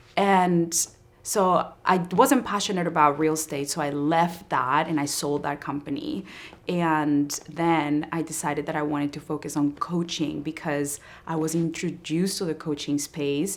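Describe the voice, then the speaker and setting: Speaking at a moderate pace, a woman uses a very deep, low pitch with fairly even intonation. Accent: Spanish. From Colombia. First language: Spanish. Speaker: entrepreneur and marketing coach. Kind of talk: interview.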